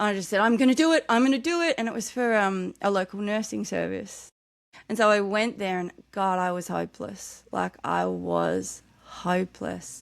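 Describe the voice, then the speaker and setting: Background silence and a very clean recording frame the voice. A woman talks at a moderate speed. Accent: Australian. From Australia, New South Wales south coast. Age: 40s. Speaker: author. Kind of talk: podcast interview. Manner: occasional slurred words when tired.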